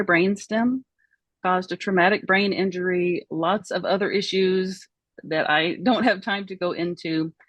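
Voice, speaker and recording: The speech moves at a fairly slow pace with a Southern US accent. Pitch variation is ordinary. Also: woman. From Oklahoma, US. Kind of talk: interview testimony.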